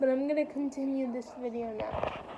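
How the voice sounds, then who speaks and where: With noticeable background noise behind her, a woman speaks at a high pitch with fairly even intonation. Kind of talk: casual vlog monologue. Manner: halting.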